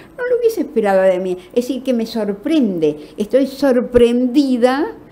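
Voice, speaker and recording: A woman with a high pitch and lively intonation speaks at a fairly slow pace amid noticeable background noise. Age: 80s+. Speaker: novelist. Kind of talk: interview.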